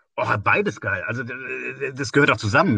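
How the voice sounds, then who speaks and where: A man's bright, sharp tone in a dry, close sound with no echo and a quiet background. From Westerwald, Rhineland-Palatinate, western Germany. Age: 50s. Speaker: church organisation leader. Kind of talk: casual interview.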